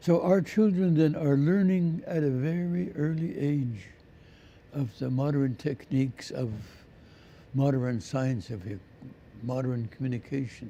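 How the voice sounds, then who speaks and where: A man with a fairly high, dark and mellow voice speaks at a fairly slow pace. His intonation is lively, broken by long, frequent pauses. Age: 80s+. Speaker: First Nations elder. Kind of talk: interview.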